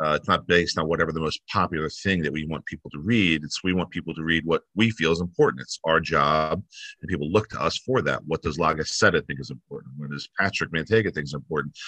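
A man talks at a very fast pace in a very deep, low pitch with a bright, sharp tone and ordinary pitch variation, the sound dry with no echo over a quiet background. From New Jersey. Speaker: newspaper staff member. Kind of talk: interview. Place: home room. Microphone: video call.

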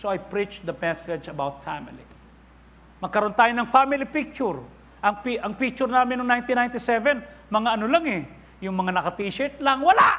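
Raising and projecting his voice, a man speaks at an extremely high pitch with a bright, sharp tone, lively intonation and a moderate pace. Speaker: pastor. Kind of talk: sermon. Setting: church. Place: church. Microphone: lapel.

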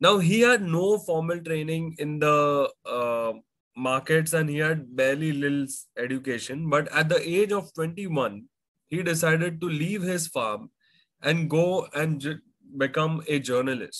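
Against a quiet background, a man speaks at a fairly slow pace. His pitch varies in an ordinary way. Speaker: finance educator. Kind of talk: lecture. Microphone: webcam.

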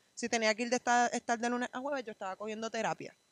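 A woman with a Puerto Rican accent speaks at fairly high pitch, with dry sound and no echo. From Puerto Rico. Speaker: professional volleyball player; interview guest. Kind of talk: interview. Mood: earnest, reflective. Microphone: handheld.

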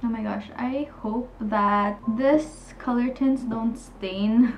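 Light background noise sits under a woman's voice. Her intonation is fairly even. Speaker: beauty vlogger. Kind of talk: casual vlog chat. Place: home room.

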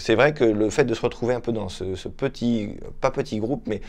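A man's medium-pitched voice with lively intonation. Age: 30s. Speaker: volunteer, photographer. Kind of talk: testimony. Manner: halting, with repetitions. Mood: calm, earnest. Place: home room.

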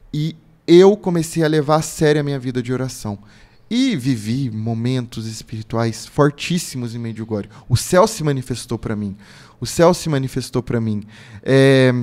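The man's pitch varies in an ordinary way, and the background stays quiet. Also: moderate pace. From Brazil, São Paulo state (Lorena); São Paulo state, Brazil. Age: 30s. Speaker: pilgrim and religious content creator; religious content creator. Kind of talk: casual interview testimony. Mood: earnest, devotional. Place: studio. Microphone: studio mic.

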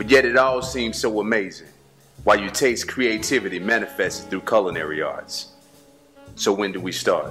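A man at a moderate pace with lively intonation, faint music in the background. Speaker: event host and spoken word poet. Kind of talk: spoken word poetry promo. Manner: rhythmic, poetic delivery. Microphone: studio mic.

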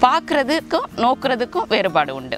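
Over clear background music, a woman's voice swings very widely in pitch, the sound dry with no echo. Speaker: Tamil literature professor. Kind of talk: lecture on classical literature. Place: garden.

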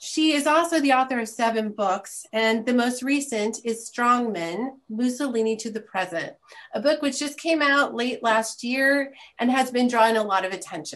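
A woman speaks in a high voice. Her pitch rises and falls in an ordinary way. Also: moderate pace. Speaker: event host introducing a speaker. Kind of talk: formal introduction. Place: home room. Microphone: video call.

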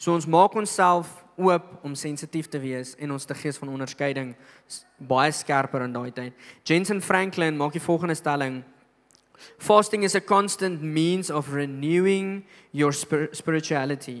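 Over a quiet background, a man speaks in a fairly high pitch with ordinary pitch variation. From South Africa. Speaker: pastor. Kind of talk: sermon. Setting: church. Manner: animated. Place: church. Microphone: handheld.

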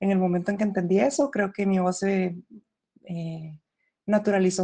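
A woman speaks with a medium pitch and a dark, mellow tone. The background is quiet. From Costa Rica. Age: 20s. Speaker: voice feminization patient and singer. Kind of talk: reading aloud; testimony.

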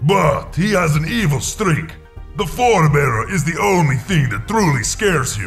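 A man does a put-on character voice pitched fairly high. Clear music plays in the background. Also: moderate pace. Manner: solemn, formal, commanding.

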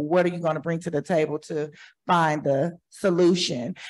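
A woman with an American accent has an unremarkable speaking voice at fairly low pitch. She talks at a moderate pace with fairly even intonation. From Oklahoma City. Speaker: community partner. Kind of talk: audience comment. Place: hall.

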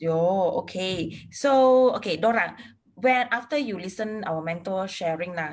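Her delivery is very slow. This woman's pitch rises and falls very widely. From Malaysia. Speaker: interviewer. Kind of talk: casual interview. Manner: code-switching between English and Malay. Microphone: video call.

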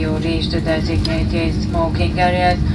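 Someone speaks at a fairly slow pace over loud background noise. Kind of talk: cabin announcement. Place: plane.

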